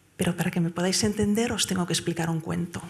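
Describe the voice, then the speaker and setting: A woman speaks softly. Noticeable background noise can be heard. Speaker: award-winning whistleblower. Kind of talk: award acceptance speech. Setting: stage with audience at gala. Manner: soft-spoken; hesitant, many fillers.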